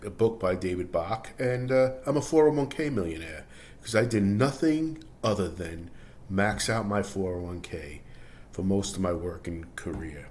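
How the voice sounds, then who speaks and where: A man's fairly low voice with lively intonation, plus audible room echo. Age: 60s. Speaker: personal finance vlogger, laid-off office worker. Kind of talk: personal testimony monologue. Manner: halting, with fillers and false starts; casual, conversational.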